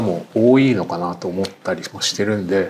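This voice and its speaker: A man's speech proceeds at a moderate tempo while noticeable noise sounds behind him. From Tokyo. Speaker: writer and podcast host. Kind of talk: podcast interview.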